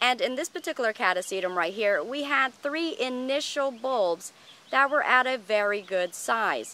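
A woman's high-pitched voice, bright and sharp in tone, with lively intonation and a dry sound with no echo. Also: moderate pace. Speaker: orchid grower and video host; video host. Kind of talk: tutorial. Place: garden. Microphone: phone near.

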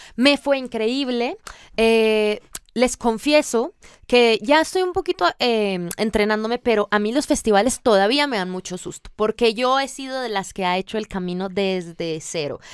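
A woman's fairly high, lively voice at a fairly slow pace, dry with no echo. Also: quiet background. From Colombia. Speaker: singer-songwriter; guest. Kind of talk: radio interview. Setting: radio studio. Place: studio. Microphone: studio mic.

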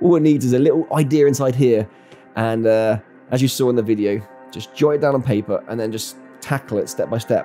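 A man at a moderate pace with ordinary pitch variation, faint music in the background. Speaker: video creator. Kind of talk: casual vlog chat. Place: home room. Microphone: studio mic.

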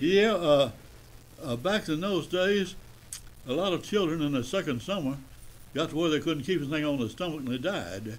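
A man with a Southern US accent speaks at a moderate pace with lively intonation, a fairly high pitch, and long, frequent pauses. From Tennessee. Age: 90s. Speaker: retired radio broadcaster. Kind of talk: interview storytelling. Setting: studio. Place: studio.

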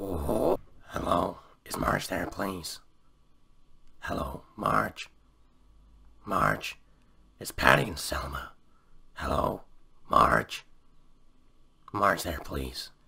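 A man puts on a character voice that is raspy and very deep, with a very low pitch. He goes very slowly, with big swings in loudness and long, frequent pauses.

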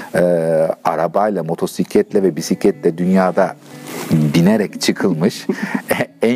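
A very deep, low male voice with ordinary pitch variation and faint music in the background. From Turkey. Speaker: long-distance touring cyclist. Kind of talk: interview answer. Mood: relaxed, animated.

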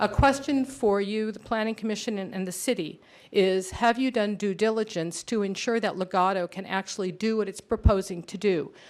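A woman with an ordinary speaking voice talks at a fairly quick pace with hardly any pauses. Her pitch is medium with ordinary variation, and her loudness swings widely. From Southern California, Redondo Beach area. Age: 60s. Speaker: resident speaking at public hearing. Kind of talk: public comment testimony. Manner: formal.

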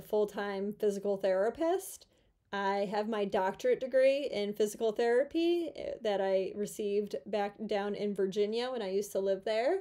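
A woman speaks in a dark, mellow tone against a quiet background. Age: 30s. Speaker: YouTuber and former physical therapist. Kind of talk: casual vlog monologue. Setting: at home in her room. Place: home room. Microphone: phone near.

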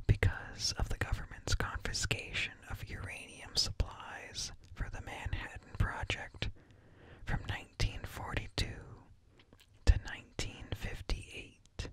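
A soft-spoken man whispering at a fairly slow pace, with light background noise. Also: big swings in loudness, dry sound with no echo. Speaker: streamer or content creator. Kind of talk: reading an informative article aloud. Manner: soft close-mic ASMR whisper. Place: home room. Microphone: studio mic.

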